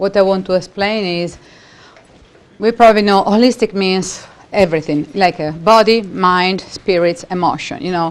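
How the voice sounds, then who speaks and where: With an Italian accent, a woman speaks at medium pitch and a fairly slow pace, in fairly even intonation over noticeable background noise. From Italy. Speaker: holistic practitioner and educator. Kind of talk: seminar talk.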